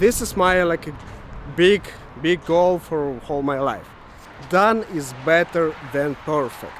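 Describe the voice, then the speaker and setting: A man with a strong Ukrainian accent speaks at a high pitch and a very slow pace, with long, frequent pauses and noticeable background noise. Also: ordinary pitch variation. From Ukraine. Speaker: web developer vlogger. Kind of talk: casual vlog monologue. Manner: halting, many fillers.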